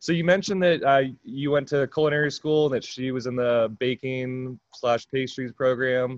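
A man with an ordinary speaking voice and an American accent talks at a moderate pace and medium pitch, recorded with a dry, close sound and no echo. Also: fairly even intonation. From California. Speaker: podcast host, mobile bar owner. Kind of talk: casual chat.

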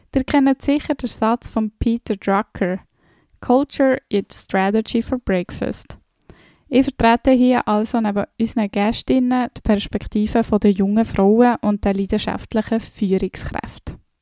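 The speaker's dark, mellow tone moves at a fairly slow pace with fairly even intonation, in a very clean recording with a silent background and a dry, close sound with no echo. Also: woman, fairly high pitch for a woman. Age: 30s. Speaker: podcast co-host, IT manager. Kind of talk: scripted podcast intro.

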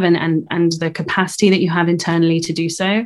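Over a silent background in a very clean recording, a woman talks at a very fast pace with a fairly low pitch and monotone, flat intonation. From UK, raised in Germany and Netherlands. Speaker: recruitment director, former lawyer. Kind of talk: casual interview conversation.

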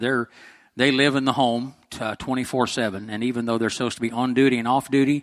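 Here is a man with an unremarkable speaking voice at medium pitch. The sound is dry and close, with no echo. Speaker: church volunteer and board member. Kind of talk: church presentation.

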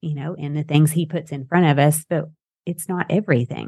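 With a Southern US accent, a woman with a very deep, low pitch speaks at a moderate pace and fairly even intonation. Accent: Southern US, noticeable twang. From Texas-Arkansas border. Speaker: podcast host. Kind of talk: casual interview chat. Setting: video call over Zoom, host in Idaho.

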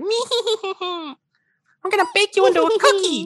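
A put-on character voice at an extremely high pitch, with a fairly slow pace. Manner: menacing, gleeful.

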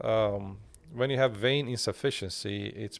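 In a Turkish accent, a man talks at a moderate pace and medium pitch with ordinary pitch variation. The recording is very clean against a silent background. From Bulgaria, Turkish minority. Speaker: cardiologist. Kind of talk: interview. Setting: studio.

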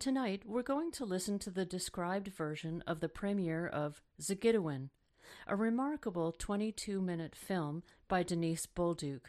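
A woman speaks in a normal speaking voice at a moderate pace. Her intonation is lively, and the background is quiet. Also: medium pitch for a woman. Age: 50s. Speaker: radio host, arts accessibility consultant. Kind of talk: radio hosting.

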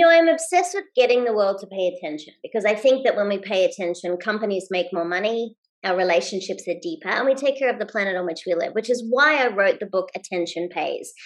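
Speaking very fast with hardly any pauses, a woman with an Australian accent uses lively intonation. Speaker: leadership expert and keynote speaker. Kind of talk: interview. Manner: high energy; fast-paced.

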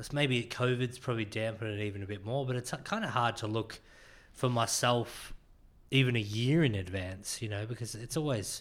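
Moving at a moderate pace with ordinary pitch variation, the man has an unremarkable speaking voice on a very clean recording with a silent background. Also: medium pitch for a man. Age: 30s. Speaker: podcast host. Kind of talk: casual chat.

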